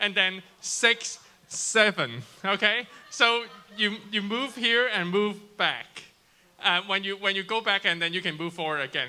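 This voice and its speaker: A man with a Cantonese accent projects a raised, high voice with a bright, sharp tone, speaking at a fairly slow pace with ordinary pitch variation. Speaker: youth ministry game leader. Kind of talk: explaining game rules to youth group. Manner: halting, repeating words.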